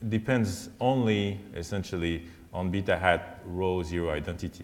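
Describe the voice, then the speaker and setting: Audible room echo hangs around a man as he talks. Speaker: statistics professor. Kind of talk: lecture. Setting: conference talk. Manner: halting.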